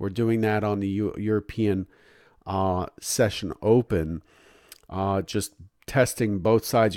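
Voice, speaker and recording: A man's unremarkable speaking voice at fairly low pitch, fairly slow pace and fairly even intonation, dry and close with no echo on a very clean recording with a silent background. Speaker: professional futures trader. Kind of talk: market analysis commentary.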